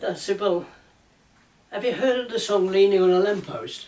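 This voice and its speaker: A man speaks at a moderate pace with an English accent and lively intonation. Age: 80s+. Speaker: ukulele banjo player and maker. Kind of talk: casual storytelling, reminiscing.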